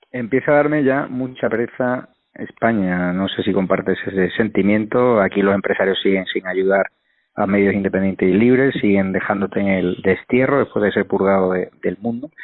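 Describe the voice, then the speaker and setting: A man uses a normal speaking voice, fairly low in pitch with ordinary pitch variation, at a moderate pace and very even loudness. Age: young. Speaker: talk show host. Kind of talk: political commentary.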